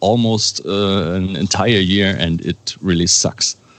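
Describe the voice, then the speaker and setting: A man speaks with a German accent at a very slow pace. His pitch varies in an ordinary way. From Germany. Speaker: metal band musician. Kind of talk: interview. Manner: halting.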